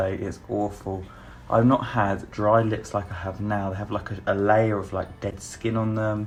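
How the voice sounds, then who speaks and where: The voice is quiet, with a British accent. It moves at a moderate pace. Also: man. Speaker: beauty YouTuber. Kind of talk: makeup review vlog. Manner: talking quietly; chatty, animated.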